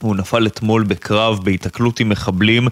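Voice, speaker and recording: A man uses a normal speaking voice, fairly low in pitch, with fairly even intonation. His moderate pace comes through a dry, close sound with no echo. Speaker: military correspondent. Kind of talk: news report.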